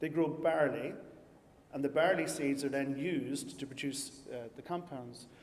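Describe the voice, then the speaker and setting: A man with an Irish accent speaks in a fairly high pitch with ordinary pitch variation, with audible room echo. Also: moderate pace. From Ireland. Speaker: scientist and company founder. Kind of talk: conference talk.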